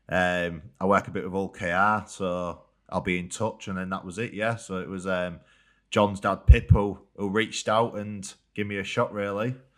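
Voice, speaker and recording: The recording is very clean, its background silent. A man's fairly low voice holds fairly even intonation. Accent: Yorkshire. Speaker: rugby league player. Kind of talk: casual chat.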